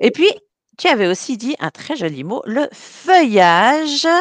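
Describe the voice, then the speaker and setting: A woman speaks at a very slow pace with vocal fry and very wide pitch swings. The sound is dry and close, with no echo. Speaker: language teacher and radio host. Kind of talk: radio show patter, bilingual French and English. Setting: radio studio. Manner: animated, chatty, upbeat radio DJ patter.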